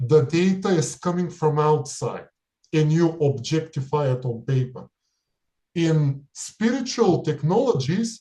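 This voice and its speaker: A man's dark, mellow tone at a fairly high pitch, with lively intonation and a very slow pace. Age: 30s. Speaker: remote viewer and spiritual practitioner. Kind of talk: interview monologue.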